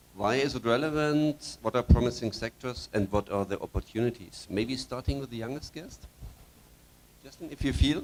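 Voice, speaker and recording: An ordinary speaking voice from a man, medium in pitch, with ordinary pitch variation, big swings in loudness and a moderate pace. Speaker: panel moderator. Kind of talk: panel discussion. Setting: conference stage.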